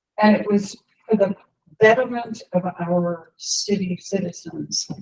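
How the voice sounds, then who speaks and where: A woman speaks at a fairly slow pace, her voice somewhat breathy and her intonation fairly even. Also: medium pitch for a woman. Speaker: resident speaking at public comment. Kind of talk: public comment.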